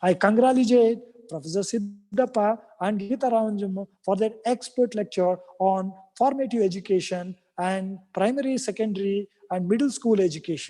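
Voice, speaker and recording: The speaker talks at a moderate pace with a Kannada accent. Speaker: academic speaker at university event. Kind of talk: formal speech. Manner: halting.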